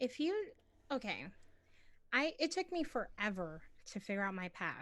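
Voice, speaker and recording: Loud and high-pitched, a woman speaks at a moderate pace with very wide pitch swings on a very clean recording with a silent background. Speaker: gamer and streamer. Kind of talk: interview chat.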